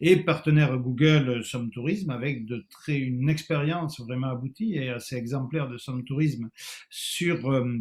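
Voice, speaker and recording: Fairly high in pitch and somewhat breathy, a man speaks in a southwestern French accent. His pace is fairly slow. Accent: southwestern French, noticeable. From southwest France. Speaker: tourism consultant, webinar moderator. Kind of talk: webinar moderation. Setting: online webinar. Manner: hesitant, many fillers.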